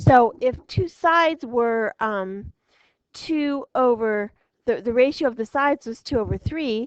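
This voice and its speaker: At a fairly slow pace, a woman speaks in a high pitch with ordinary pitch variation, the sound dry and close with no echo. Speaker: math teacher. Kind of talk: lecture. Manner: hesitant, many fillers.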